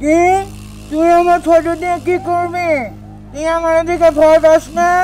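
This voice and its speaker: A cartoonish character voice speaks at an extremely high pitch in a flat monotone, at a moderate pace. Clear music plays in the background. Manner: rustic dialect, teasing.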